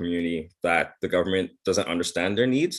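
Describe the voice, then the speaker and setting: Very deep, low male voice, its intonation fairly even. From Bahamas. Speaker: anti-racism policy advisor. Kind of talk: interview. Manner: halting.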